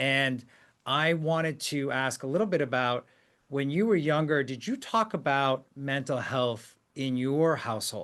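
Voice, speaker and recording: Against a quiet background, a man with a fairly high pitch and ordinary pitch variation talks at a moderate pace. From US, Korean immigrant family. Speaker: podcast host, CEO. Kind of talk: interview podcast.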